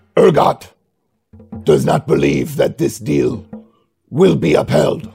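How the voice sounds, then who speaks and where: A man's put-on character voice at a fairly slow pace, with faint music in the background. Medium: actual play. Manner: formal, clipped, imperious.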